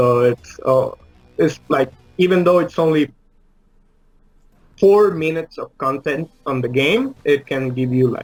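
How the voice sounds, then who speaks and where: Over background music, a man with a Spanish accent speaks at a fairly slow pace and a fairly high pitch, with ordinary pitch variation and long, frequent pauses. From Uruguay. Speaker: indie game developer. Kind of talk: interview. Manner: halting, many fillers.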